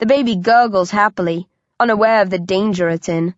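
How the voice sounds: A natural reading voice with ordinary shifts in pitch and a quiet background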